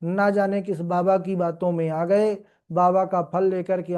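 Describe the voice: Someone reads the words aloud. The reading is plain.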